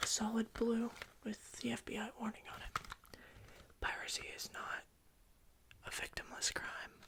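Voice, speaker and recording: A man whispering at a fairly slow pace, with long, frequent pauses. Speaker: ASMR creator doing a CD store employee roleplay. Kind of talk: ASMR roleplay, casual talk to customer. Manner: soft-spoken, whispery.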